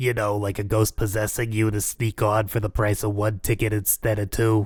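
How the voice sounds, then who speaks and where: In a very clean recording with a silent background, a man uses a put-on character voice, fairly low in pitch, monotone and flat, at a moderate pace. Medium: audio drama. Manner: deadpan, bureaucratic.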